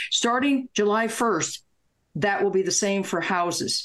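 A woman talks in a normal speaking voice at medium pitch and a moderate pace. Her intonation is lively, and the background is quiet. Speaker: retired attorney. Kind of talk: casual talk show interview. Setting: video call.

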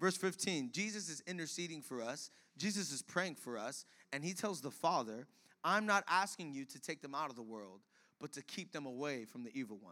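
With lively intonation and an animated tone, a man speaks at a fairly high pitch in a bright, sharp voice, his loudness swinging widely. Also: moderate pace. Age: 20s. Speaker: pastor. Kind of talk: sermon. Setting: church.

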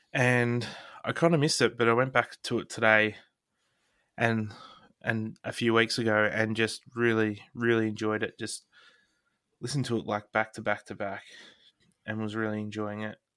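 A man with an Australian accent, medium pitch and fairly even intonation, at a moderate pace with long, frequent pauses. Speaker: podcast co-host. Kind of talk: casual chat.

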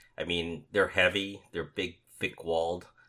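A man speaks with a bright, sharp tone. The recording is very clean with a silent background. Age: 50s. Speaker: information security podcast co-host. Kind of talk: casual chat.

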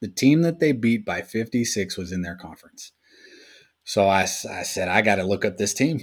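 An unremarkable speaking voice with lively intonation, a moderate pace and big swings in loudness, captured in a very clean recording against a silent background. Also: man, medium pitch for a man. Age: 40s. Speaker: sports podcast co-host. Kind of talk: casual chat.

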